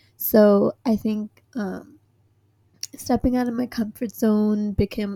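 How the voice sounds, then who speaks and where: On a very clean recording with a silent background, a dark, mellow, somewhat breathy voice speaks with fairly even intonation in a dry, close sound with no echo. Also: woman. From Hong Kong. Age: 20s. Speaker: podcast co-host, recent graduate. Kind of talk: casual chat.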